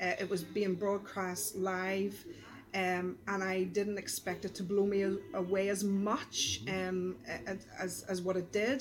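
In a Belfast accent, a woman speaks very slowly at a medium pitch. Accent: Belfast Northern Irish. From Northern Ireland, East Belfast. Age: 40s. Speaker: pastor. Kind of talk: casual chat. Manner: animated.

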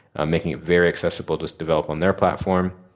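On a very clean recording with a silent background, a man with an American accent speaks in a very deep, low pitch and a flat, monotone delivery. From United States. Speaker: tech startup founder and CEO. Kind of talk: interview conversation. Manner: articulate.

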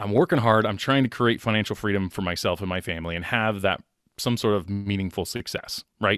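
An ordinary speaking voice moves at a fairly quick pace with ordinary pitch variation, the sound dry and close with no echo. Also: man, fairly low pitch for a man. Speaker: podcaster and financial planner. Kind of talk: casual interview chat.

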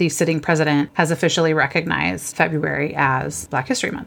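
A woman with an ordinary speaking voice talks fairly quickly at a fairly low pitch. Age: 40s. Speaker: podcast co-host. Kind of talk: casual chat.

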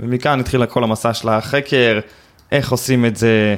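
A man talks at a moderate pace in an ordinary speaking voice. His pitch is medium and his intonation fairly even. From Israel, West Bank settlement. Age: 20s. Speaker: affiliate marketing expert. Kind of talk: interview conversation. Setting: in-person recording in Tel Aviv.

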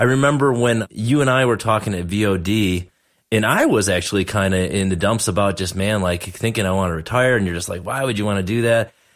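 This is a normal speaking voice. The recording is very clean, with a silent background. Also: man, fairly low pitch for a man, ordinary pitch variation, fairly quick pace. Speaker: dentist and podcast host. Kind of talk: casual interview chat.

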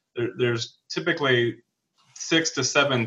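Medium in pitch and at a moderate pace, a man with an American accent talks in a normal speaking voice. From Wyoming, US. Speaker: entrepreneur and podcast host. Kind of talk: interview answers, business advice. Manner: frequent fillers and restarts.

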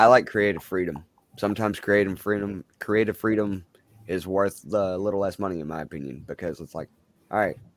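This man has a plain, everyday voice, pitched fairly low with ordinary pitch variation, and he talks at a fairly quick pace. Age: 20s. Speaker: wrestling manager. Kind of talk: casual chat.

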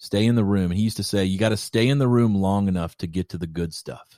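On a very clean recording with a silent background, a man in an American accent speaks at a fairly quick pace, his fairly low pitch and dark, mellow tone showing ordinary pitch variation. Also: dry, close sound with no echo. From Kentucky, US. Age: 40s. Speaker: creative director and filmmaker. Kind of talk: casual chat.

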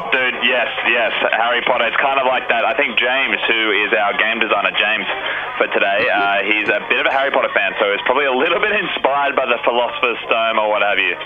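Over noticeable background noise, the voice rushes along at a very fast pace in an excited tone. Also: man, very even loudness. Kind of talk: radio show parody infomercial. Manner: amped, fast, over-excited live-stream pitchman.

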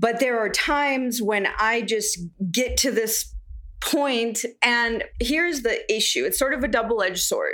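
A woman talks at a fairly slow pace in a high voice. Her pitch varies in an ordinary way and her loudness stays very even. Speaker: coaching client. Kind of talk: personal testimony. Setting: remote call with audio issues. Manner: soft-spoken.

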